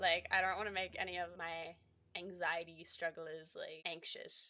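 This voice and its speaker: A woman's bright, sharp, fairly low voice in an Australian accent, at a fairly slow pace. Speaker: gaming YouTuber. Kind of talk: casual chat. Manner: chatty, filler-heavy.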